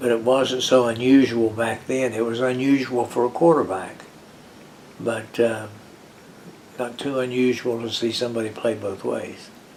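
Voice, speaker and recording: A man with an American accent at a medium pitch, flat and monotone, moderate in pace with long, frequent pauses, over noticeable background noise. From West Virginia. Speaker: retired former college football player. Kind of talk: oral history interview. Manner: halting.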